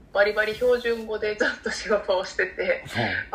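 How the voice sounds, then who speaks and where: There is noticeable background noise as a woman speaks at a fairly high pitch. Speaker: coffee company podcast co-host. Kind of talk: casual chat. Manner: soft, gentle and soothing.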